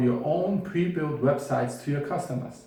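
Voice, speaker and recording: A man speaks at a fairly slow pace with a German accent. Room echo is audible. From Bavaria, Germany. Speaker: web developer and course instructor; course instructor. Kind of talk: tutorial.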